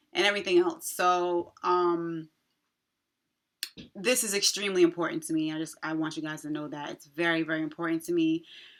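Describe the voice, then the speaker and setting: A woman speaks with an American accent. Her pace is fairly quick and her intonation fairly even. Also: fairly low pitch for a woman. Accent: New York accent, strength unsure. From New York, Long Island. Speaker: nurse and nursing video creator. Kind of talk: casual vlog update. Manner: casual with many fillers.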